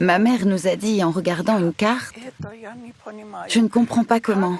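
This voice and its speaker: Amid noticeable background noise, a woman speaks at a fairly slow pace with ordinary pitch variation. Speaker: voice actor. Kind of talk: documentary voice-over of testimony.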